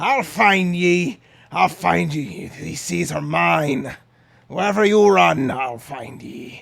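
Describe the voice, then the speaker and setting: In a put-on character voice, a man cackles at a very slow pace with a raspy, fairly high pitch. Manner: cackling, menacing.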